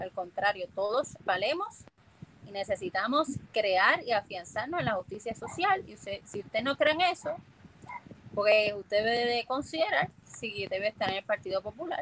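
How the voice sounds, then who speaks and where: Over noticeable background noise, a woman speaks at a moderate pace with a fairly high pitch, very wide pitch swings and big swings in loudness. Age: 30s. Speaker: political candidate. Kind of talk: interview.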